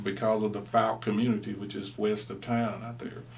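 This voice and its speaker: With an American accent, a man speaks at a fairly low pitch with vocal fry. There is audible echo from the room. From East Texas. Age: 60s. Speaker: interviewee, former student. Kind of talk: oral history interview.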